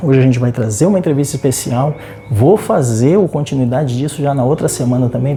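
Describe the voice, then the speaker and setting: Soft-spoken delivery at a fairly quick pace over noticeable background noise. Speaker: TV presenter. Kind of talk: TV segment intro. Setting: sleep clinic. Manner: speaking softly.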